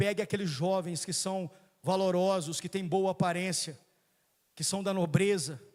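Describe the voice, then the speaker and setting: The recording is very clean, with a silent background. A man with a high pitch talks at a moderate pace and fairly even intonation. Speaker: preacher. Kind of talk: sermon.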